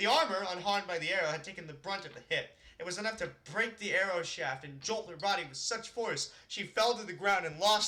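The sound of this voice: Reading in an unforced voice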